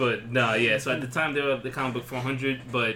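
The intonation is monotone and flat. Noticeable background noise sits behind the speech. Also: man. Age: 20s. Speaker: podcast co-host. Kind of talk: casual chat.

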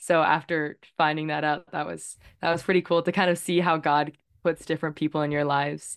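Delivered at a fairly quick pace in a monotone, flat intonation, the speech comes through a very clean recording with a silent background. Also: woman, very deep, low pitch for a woman. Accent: Canadian. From Victoria, British Columbia, Canada. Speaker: journalist. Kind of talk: interview.

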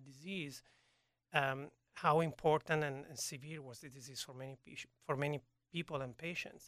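A man with an Italian accent, fairly high pitch, a bright, sharp tone, monotone, flat intonation and a moderate pace, in a very clean recording with a silent background. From Italy, Turin. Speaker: gene therapy researcher. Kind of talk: interview. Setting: studio. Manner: halting.

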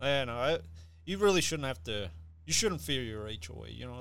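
A man speaks at a fairly quick pace with very wide pitch swings. Room echo is audible. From Puerto Rican heritage. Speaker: ballroom dancer, podcast guest. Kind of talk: casual chat.

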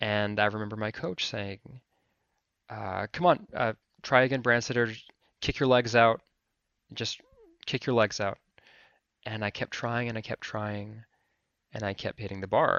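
A man with an Alaskan accent speaks in a fairly low pitch. His intonation is fairly even, broken by long, frequent pauses. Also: moderate pace. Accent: American, Alaskan. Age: 30s. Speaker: filmmaker and photographer. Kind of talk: interview testimony.

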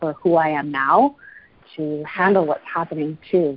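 A woman has an unremarkable speaking voice with a Canadian accent. She keeps a moderate pace and ordinary pitch variation. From Canada, Calgary, Alberta. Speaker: life coach and real estate broker. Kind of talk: casual interview conversation.

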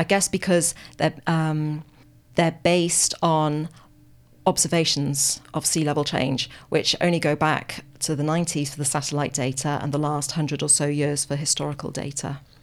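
The speaker has a British accent and a flat, monotone delivery at a fairly slow pace. The recording is very clean, with a silent background. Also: woman, very deep, low pitch for a woman. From UK. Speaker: paleoclimate scientist. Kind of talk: radio interview. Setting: radio studio.

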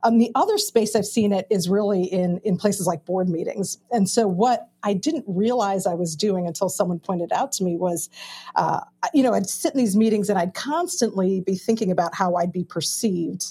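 A woman with an American accent speaks at a moderate pace in a medium pitch with ordinary pitch variation. Her tone is dark and mellow, and somewhat breathy. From Chicago, US Midwest, Indian American family. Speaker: pastor. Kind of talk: panel discussion.

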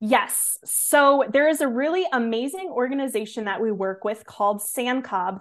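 With an American accent and lively intonation, a woman talks at a fairly slow pace in an ordinary speaking voice. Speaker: conservation educator. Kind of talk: casual interview.

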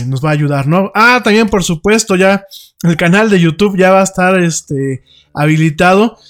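This man talks at a moderate pace. His pitch variation is ordinary. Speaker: radio host. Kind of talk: casual chat. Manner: halting.

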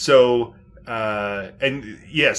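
A man talks in a normal speaking voice. His pitch is medium with ordinary variation. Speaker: podcast co-host. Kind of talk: casual chat.

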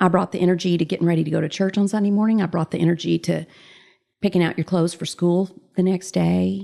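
A woman speaks very fast in a Southern US accent, her pitch fairly low. Her tone is dark and mellow, and her intonation stays flat and monotone. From US South. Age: 50s. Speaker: mother, guest. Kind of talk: casual interview.

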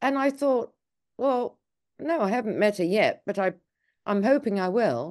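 In a quiet background, a woman with an English accent speaks at a moderate pace, her fairly high voice carrying lively intonation. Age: 70s. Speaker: documentary filmmaker. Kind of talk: interview.

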